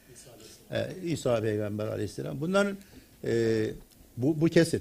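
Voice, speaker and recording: A man talks at a fairly slow pace with a dark, mellow tone and very wide pitch swings. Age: 70s. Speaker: retired theology professor. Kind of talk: lecture.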